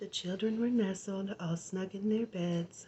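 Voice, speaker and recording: Over noticeable background noise, a soft-spoken woman with an American accent talks at a fairly slow pace, with medium pitch and fairly even intonation. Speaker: ASMR artist. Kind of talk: bedtime story reading.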